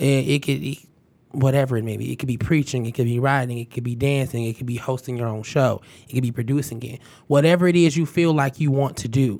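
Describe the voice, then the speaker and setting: The speech moves at a very fast pace with big swings in loudness, though the intonation stays fairly even. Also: man, medium pitch for a man. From Detroit, Michigan. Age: 20s. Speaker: podcast host. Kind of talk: casual chat. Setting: studio.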